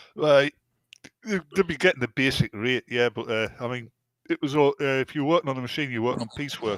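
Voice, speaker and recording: Here a man talks fairly quickly in a British accent. The sound is dry and close, with no echo. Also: medium pitch for a man, ordinary pitch variation. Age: 60s. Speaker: podcast panelist. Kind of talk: casual chat. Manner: halting.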